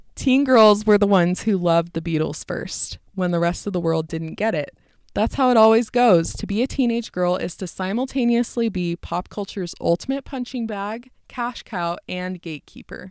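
In a normal speaking voice with an American accent, a woman talks at a moderate pace and medium pitch with hardly any pauses, on a very clean recording with a silent background. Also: ordinary pitch variation. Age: 20s. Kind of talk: casual chat. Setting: recording at home.

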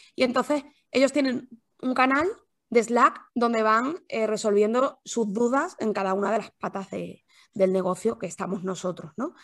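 Over a quiet background, a woman with a plain, everyday voice, fairly high in pitch, talks at a moderate pace with lively intonation. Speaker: copywriter, former journalist. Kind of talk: interview.

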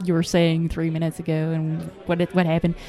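Noticeable background noise is present in this clip. The woman speaking has a fairly low pitch. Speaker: startup CEO and podcast company co-founder. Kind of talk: casual interview chat. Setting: conference booth recording.

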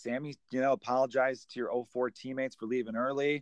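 This man has a plain, everyday voice at medium pitch, with an American accent. He talks at a fairly quick pace, and the sound is dry and close with no echo. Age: 30s. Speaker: comedian and podcast host. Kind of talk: casual chat.

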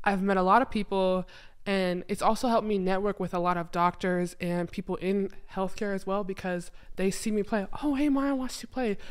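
A normal speaking voice at a moderate pace, with ordinary pitch variation, comes through on a very clean recording with a silent background. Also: woman, medium pitch for a woman. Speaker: former college basketball player. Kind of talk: casual chat.

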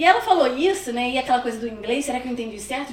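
Over noticeable background noise and audible room echo, a woman with a Rio de Janeiro accent talks at a very fast pace in a high pitch with ordinary pitch variation. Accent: carioca. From Rio de Janeiro, Brazil. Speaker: immigrant guest. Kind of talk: casual interview.

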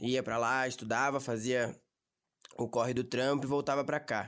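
Recorded very cleanly against a silent background, a man with a São Paulo accent speaks at a medium pitch and a moderate pace. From Brazil, São Paulo ABC region. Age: young. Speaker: young worker. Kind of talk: casual interview. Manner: casual slangy.

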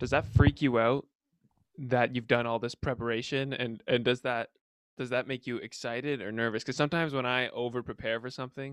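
In an ordinary speaking voice, a man of medium pitch talks at a fairly quick pace with fairly even intonation, the sound dry and close with no echo and the recording very clean over a silent background. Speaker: podcast host. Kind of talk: casual chat.

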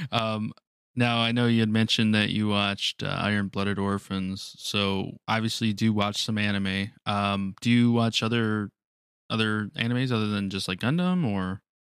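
A man speaks in a normal speaking voice, fairly low in pitch, at a moderate pace with fairly even intonation. The recording is very clean with a silent background. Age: 30s. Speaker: podcast host. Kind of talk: casual chat.

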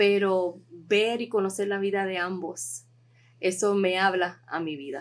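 A woman talks at a fairly slow pace in an ordinary speaking voice. Her pitch is medium. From Puerto Rico. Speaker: podcast host. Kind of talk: interview.

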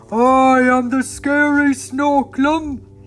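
A growling, put-on character voice over light background noise. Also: man, extremely high pitch for a man. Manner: snarling, menacing.

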